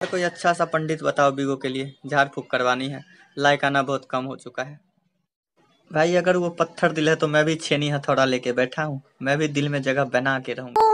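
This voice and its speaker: A man is speaking. He keeps a moderate pace and fairly even intonation. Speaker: short-video creator. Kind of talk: casual joke monologue. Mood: playful, joking. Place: home room. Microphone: phone near.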